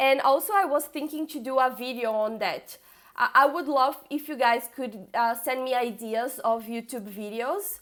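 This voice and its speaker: With a Brazilian Portuguese accent, a woman speaks at a high pitch with ordinary pitch variation. Her pace is fairly slow. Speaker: coding bootcamp student and streamer. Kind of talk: live stream tutorial. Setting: live stream with screen share. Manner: halting, with fillers and repeats.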